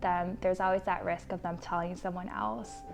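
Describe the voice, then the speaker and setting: Music plays behind a woman as she talks. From Bolivia. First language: Spanish. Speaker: mental health therapist. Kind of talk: introductory self-presentation.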